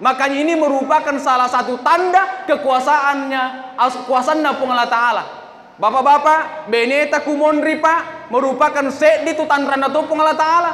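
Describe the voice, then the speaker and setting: Raising and projecting his voice at an extremely high pitch, a man speaks at a moderate pace with fairly even intonation, amid audible room echo and noticeable background noise. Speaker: Islamic preacher. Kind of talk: sermon. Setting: mosque. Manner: loud.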